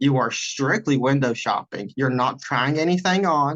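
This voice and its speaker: A man with an Appalachian accent speaks at a medium pitch with ordinary pitch variation. The sound is dry and close, without echo. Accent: Appalachian Southern US. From western North Carolina mountains (Burnsville, near Asheville). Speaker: podcast guest. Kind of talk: casual chat.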